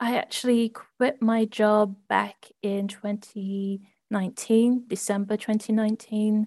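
In an American accent, a woman with a fairly high, dark and mellow voice speaks fairly slowly, somewhat breathy and monotone. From London, England, then US East Coast from age ten. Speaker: copywriting business owner. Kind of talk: podcast interview. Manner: hesitant, many fillers.

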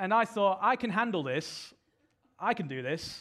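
A man's voice with a British accent. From UK. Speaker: preacher. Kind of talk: sermon. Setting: church stage with audience.

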